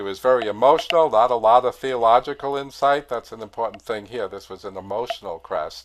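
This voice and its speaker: A man with an American accent speaks at a fairly quick pace and a medium pitch, in an unremarkable speaking voice with ordinary pitch variation. The recording is very clean, with a silent background. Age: 60s. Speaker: organist and choir director. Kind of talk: lecture. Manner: casual, with many fillers.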